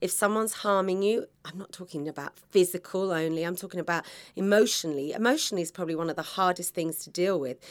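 A woman's fairly low voice with a British accent, very fast pace, ordinary pitch variation and big swings in loudness, on a very clean recording with a silent background. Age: 50s. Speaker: podcast host, confidence coach. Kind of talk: motivational monologue. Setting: podcast studio pod.

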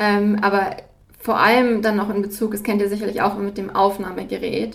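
Over noticeable background noise and audible room echo, a woman speaks at a fairly quick pace with monotone, flat intonation. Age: 20s. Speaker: student and podcast host. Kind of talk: interview. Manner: halting with frequent fillers.

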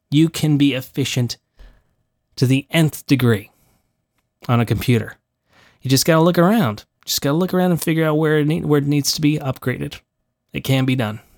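A man mumbles at a fairly quick pace with a fairly high pitch and ordinary pitch variation, leaving long, frequent pauses. The recording is very clean with a silent background and a dry, close sound with no echo. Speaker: voice actor and podcast host. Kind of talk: solo podcast monologue. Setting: home recording studio. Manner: casual, with many fillers.

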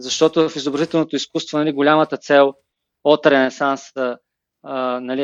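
A man talks at a moderate pace with a fairly high pitch and fairly even intonation. The sound is dry and close, with no echo. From Bulgaria, Plovdiv. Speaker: web designer and creative director. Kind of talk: interview. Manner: halting, many filler sounds.

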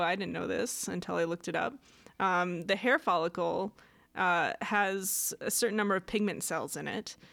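Recorded very cleanly against a silent background, the voice moves at a moderate pace with noticeable vocal fry. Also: woman. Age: 30s. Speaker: science podcast co-host. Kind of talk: casual chat.

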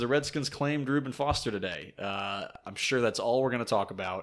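Delivered at a fairly quick pace with lively intonation, this is an ordinary speaking voice on a very clean recording with a silent background. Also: man. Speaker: podcast host. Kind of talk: casual banter, sports podcast. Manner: teasing, banter.

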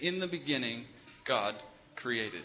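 A man with an ordinary speaking voice talks at a moderate pace and a fairly high pitch, his intonation lively. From US Midwest, Michigan. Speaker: visiting preacher. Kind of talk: sermon with consecutive interpretation.

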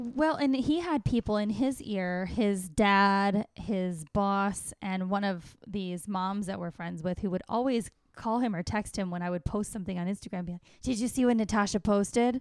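A woman with a normal speaking voice talks at a moderate pace with ordinary pitch variation and hardly any pauses, in a very clean recording with a silent background. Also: medium pitch for a woman. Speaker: stand-up comedian. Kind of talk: casual interview chat.

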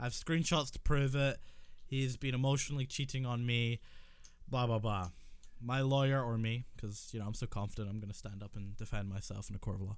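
A man with a Scottish accent at a fairly quick pace. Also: medium pitch for a man, ordinary pitch variation. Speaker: podcast co-host. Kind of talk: casual chat.

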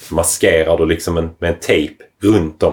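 Very deep and low, a man's somewhat breathy voice moves at a fairly slow pace. His intonation stays monotone and flat. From southern Sweden, Lomma (Skåne). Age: 30s. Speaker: surfboard shaper. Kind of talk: casual chat.

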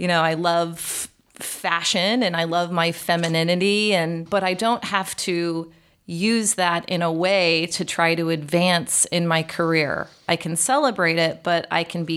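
A woman speaks in a normal speaking voice with an American accent, fairly low in pitch and fairly slow. Her intonation stays fairly even, and the recording is very clean with a silent background. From US Midwest, Chicago area. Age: 40s. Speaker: account director. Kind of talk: interview. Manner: laughs often.

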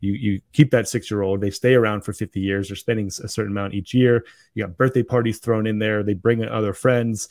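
In an ordinary speaking voice, a man talks at a fairly quick pace with hardly any pauses. His pitch is fairly low and his intonation fairly even. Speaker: podcast host. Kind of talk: casual interview.

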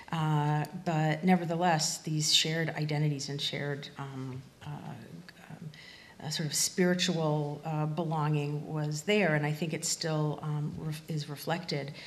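A woman's very deep, low voice, somewhat breathy, flat and monotone, at a fairly slow pace. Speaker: refugee studies researcher and teacher. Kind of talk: panel discussion. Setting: stage with audience.

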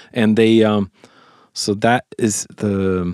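A man with a Swedish accent speaks at a fairly low pitch with fairly even intonation and a dark, mellow tone. The sound is dry and close, with no echo. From Sweden. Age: 50s. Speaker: songwriter and producer. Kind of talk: casual interview. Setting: studio.

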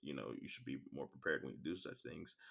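Vocal fry from a man. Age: 30s. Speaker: vlogger. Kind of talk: monologue. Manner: halting.

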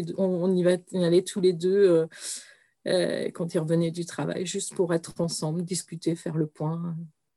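A woman's dark, mellow voice, fairly low in pitch, at a fairly slow pace with monotone, flat intonation. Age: 40s. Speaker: bereaved mother. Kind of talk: testimony. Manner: halting.

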